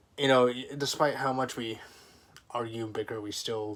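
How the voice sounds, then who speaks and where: The voice is quiet. Its intonation stays monotone and flat. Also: man. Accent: American. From US military family. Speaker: vlogger. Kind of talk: personal vlog monologue. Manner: halting.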